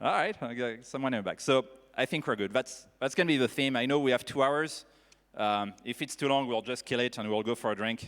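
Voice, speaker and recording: On a very clean recording with a silent background, a man talks at a fairly quick pace, his medium pitch showing ordinary variation. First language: French. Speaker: panel moderator. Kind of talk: panel discussion moderation. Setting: stage with audience. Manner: animated.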